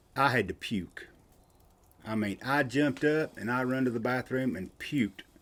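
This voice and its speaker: A man with a Southern US accent speaks at a medium pitch with ordinary pitch variation. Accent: Southern US rural. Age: 60s. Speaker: outdoorsman and podcast guest. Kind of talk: casual chat, storytelling.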